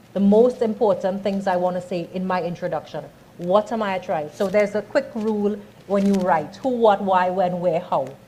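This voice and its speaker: In a Trinidadian accent, a woman speaks at a moderate pace and medium pitch, her dark, mellow tone somewhat breathy, with ordinary pitch variation. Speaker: communications and branding speaker. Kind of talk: workshop talk.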